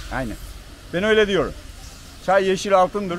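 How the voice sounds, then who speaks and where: Against light background noise, a man speaks at a fairly quick pace, the sound dry with no echo. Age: 50s. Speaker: tea farmer. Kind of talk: interview. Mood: cheerful, opinionated. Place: street. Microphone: phone near.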